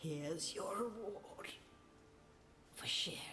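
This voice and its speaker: Whispering in a put-on character voice, the speaker goes at a fairly slow pace. Clear background noise sits behind it. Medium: video game. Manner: cryptic, cackling.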